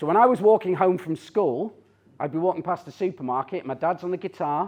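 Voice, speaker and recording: A man with a Teesside accent, high-pitched, at a moderate pace with lively intonation, over a quiet background. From northern England, Teesside. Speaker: tech CEO and speaker. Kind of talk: conference talk. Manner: animated.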